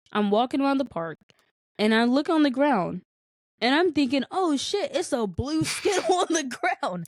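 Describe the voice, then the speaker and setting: A woman with a high pitch speaks in an animated tone at a moderate pace, her pitch swinging very widely. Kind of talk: casual chat.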